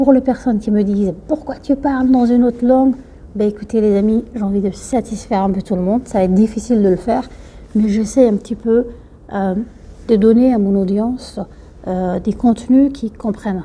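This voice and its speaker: A woman speaks in a Somali accent, her dark, mellow tone somewhat breathy at a fairly high pitch. Her pace is moderate, her intonation fairly even, and her loudness swings widely. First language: Somali (speaking French). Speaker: YouTuber giving life advice. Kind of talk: talk to camera, advice. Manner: hesitant, many fillers.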